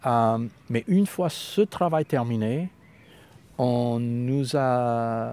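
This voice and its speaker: A man with an American accent, medium-pitched, in a dry, close sound with no echo. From US, Los Angeles. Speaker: poet and translator. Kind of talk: interview conversation. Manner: halting at times, stumbles on words.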